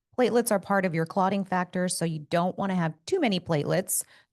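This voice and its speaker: A woman with vocal fry, at a very fast pace with ordinary pitch variation, against a quiet background. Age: 50s. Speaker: doctor. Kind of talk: medical explainer podcast. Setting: podcast studio.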